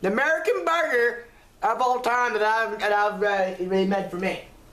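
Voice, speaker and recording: A man's voice with audible room echo. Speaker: home food vlogger. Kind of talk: casual vlog chat. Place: home room. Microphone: webcam.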